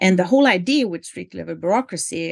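An unremarkable speaking voice with lively intonation is heard in a dry, close sound with no echo and a quiet background. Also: woman. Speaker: university professor. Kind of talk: academic interview.

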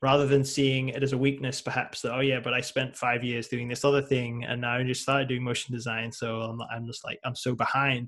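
With a Liverpool accent, a man speaks at medium pitch in a monotone, flat intonation. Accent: Liverpool (Scouse) English. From Liverpool, England. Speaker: podcast host, motion designer. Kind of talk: casual chat.

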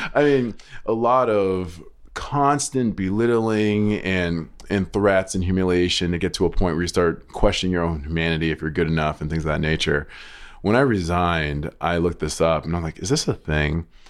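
With an American accent, a man speaks at a moderate pace in a very deep, low voice with lively intonation. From Massachusetts. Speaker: author and positivity speaker. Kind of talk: interview conversation.

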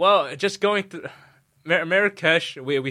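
In a New York accent, a man speaks with a bright, sharp tone and lively intonation. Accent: New York American. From New York City. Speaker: university student. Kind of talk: casual chat.

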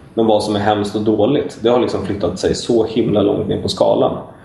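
Over noticeable background noise and audible room echo, a man talks in a fairly low voice. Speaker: stroke survivor and former footballer. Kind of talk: interview. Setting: Skype call. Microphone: sometimes choppy line.

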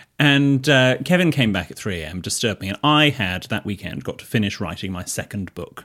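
With a bright, sharp tone and very wide pitch swings, a man at fairly low pitch talks at a fairly quick pace with hardly any pauses. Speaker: podcast co-host. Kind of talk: casual chat.

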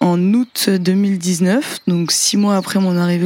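Noticeable background noise sits under this recording. A woman speaks at a medium pitch with fairly even intonation. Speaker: podcast storyteller. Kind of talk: personal testimony.

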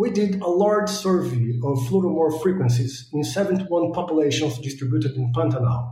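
In a Brazilian accent, a man speaks with a fairly high pitch and lively intonation at a moderate pace. Audible room echo surrounds his voice. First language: Portuguese. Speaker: postdoctoral biologist. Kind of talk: interview, scientific explanation.

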